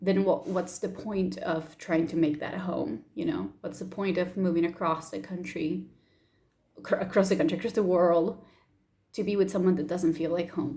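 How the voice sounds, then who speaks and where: A woman speaks at a fairly low pitch in a dark, mellow tone with vocal fry. Her intonation stays fairly even. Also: moderate pace. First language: Spanish. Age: 20s. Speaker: YouTuber. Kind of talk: personal vlog.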